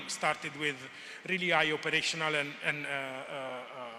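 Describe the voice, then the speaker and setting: A man speaks in a space with audible room echo. Noticeable background noise is also present. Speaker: conference presenter on agricultural research. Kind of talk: conference presentation. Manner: hesitant, many fillers; fast.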